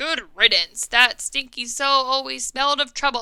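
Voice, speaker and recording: A woman's high-pitched, put-on character voice at a moderate pace, with ordinary pitch variation. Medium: read story.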